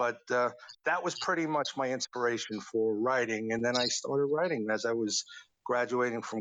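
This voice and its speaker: A man with medium pitch and a New York accent. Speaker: songwriter. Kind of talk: interview. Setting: online audio room.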